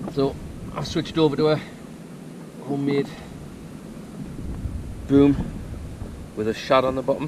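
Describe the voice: A man speaks at a fairly slow pace with long, frequent pauses, a slightly mellow tone and little pitch movement. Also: medium pitch for a man.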